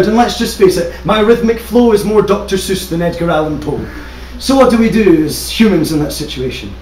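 A man with a high voice talks at a fairly quick pace with ordinary pitch variation, amid audible room echo and light background noise. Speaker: spoken word poet. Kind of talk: slam poetry performance. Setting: live stage. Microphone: camera far.

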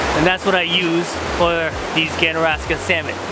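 A man's voice sounds dry with no echo, set against loud background noise. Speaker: fishing vlogger. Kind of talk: casual vlog chat. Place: waterside. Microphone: phone near.

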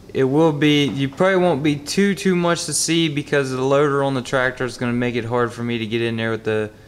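This man's pitch shows ordinary variation. He speaks at a fairly quick pace. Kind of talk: tutorial. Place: garage.

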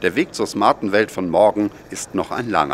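A man with a plain, everyday voice speaks at a moderate pace. His pitch is fairly low. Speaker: video narrator. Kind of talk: scripted narration. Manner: formal.

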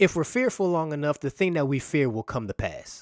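Lively intonation from a man at a fairly high pitch, quiet background, dry sound with no echo. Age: 30s. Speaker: pastor. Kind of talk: sermon. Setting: church. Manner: animated. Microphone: studio mic.

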